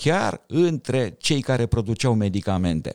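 On a very clean recording with a silent background, a man at medium pitch speaks at a fairly slow pace with very wide pitch swings, the sound dry and close with no echo. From Romania, Bucharest. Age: 60s. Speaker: thoracic surgeon and sci-fi writer. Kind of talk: podcast interview.

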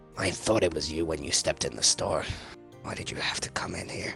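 A man's put-on character voice at a fairly quick pace, with clear music in the background. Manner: impatient, irritable.

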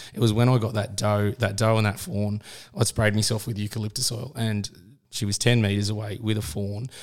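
Fairly even intonation comes at a very fast pace in an Australian accent. The recording is very clean, with a silent background. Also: man. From Australia, Sydney. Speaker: hunting podcast co-host. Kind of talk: casual chat.

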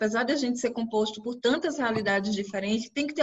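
A woman with a northeastern Brazilian accent, high-pitched, with lively intonation. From Brazil, Recife (Pernambuco). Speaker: children's rights activist and educator. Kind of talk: interview about research.

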